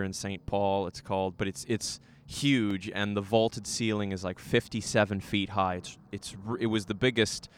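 On a very clean recording with a silent background, a man with an unremarkable speaking voice and a fairly low pitch talks at a moderate pace. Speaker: podcast host. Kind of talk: casual interview chat.

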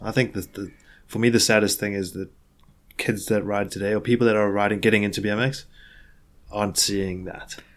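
A man speaks at a fairly quick pace in a fairly low, flat, monotone voice, broken by long, frequent pauses. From South Africa, Johannesburg. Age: 30s. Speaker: pro BMX rider. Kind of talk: casual interview.

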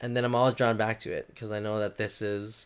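Someone with an American accent talks at a fairly quick pace in a monotone, flat intonation. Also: man. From Minnesota, US. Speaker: youth ministry worker. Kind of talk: interview.

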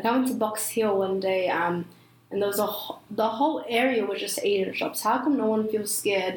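A woman's fairly high voice, with typical ups and downs in pitch, comes through noticeable background noise and audible room echo. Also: moderate pace. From New Zealand. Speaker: podcast host. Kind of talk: casual chat.

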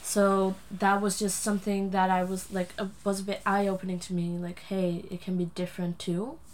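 Speaking at a moderate pace with hardly any pauses, a woman with a Dutch accent holds a medium pitch and a monotone, flat intonation. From Netherlands, Friesland. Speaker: adoptee sharing personal story. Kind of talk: interview. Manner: hesitant, many fillers.

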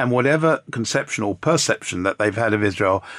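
An unremarkable speaking voice from a man, fairly low in pitch with lively intonation, in a very clean, dry, close recording with a silent background and no echo. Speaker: panel discussant. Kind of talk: panel discussion.

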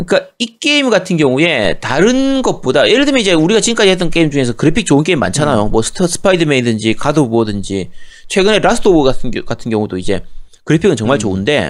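The voice shows very wide pitch swings and vocal fry at a very fast pace. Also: man, fairly high pitch for a man. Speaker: gaming podcast co-host. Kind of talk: casual chat.

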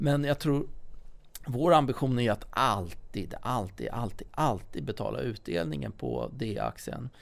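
The background is silent, and the recording is very clean. A man talks fairly slowly. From Stockholm, partly Småland. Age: 40s. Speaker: property company CEO. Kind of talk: podcast interview. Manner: some hesitation, repeated words.

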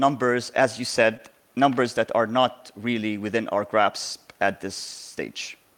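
Speaking in an Arabic accent, a man uses a medium pitch. His pace is fairly slow, with ordinary pitch variation. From southern Lebanon. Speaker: lawyer and political party leader. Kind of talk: interview discussion.

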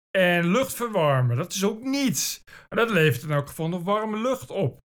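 On a very clean recording with a silent background, a man talks in an animated tone, his high voice full of lively intonation. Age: 40s. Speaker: podcast host. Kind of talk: solo monologue.

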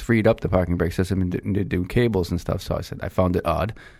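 A man speaks with a fairly low pitch and fairly even intonation. Noticeable background noise is present. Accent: American. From Lowell, Massachusetts. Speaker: auto repair shop owner. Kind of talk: casual chat. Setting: studio.

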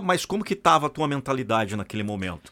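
A man's voice moves through very wide pitch swings in a very clean recording with a silent background. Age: 40s. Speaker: podcast host and motivational voice-over artist. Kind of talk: casual interview chat. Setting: studio. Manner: animated.

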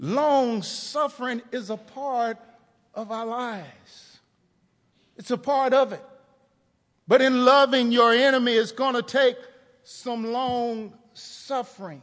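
Speaking with an American accent at an extremely high pitch, a man goes at a very slow pace with long, frequent pauses, fairly even intonation and big swings in loudness. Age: 50s. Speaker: pastor. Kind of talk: sermon. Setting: church.

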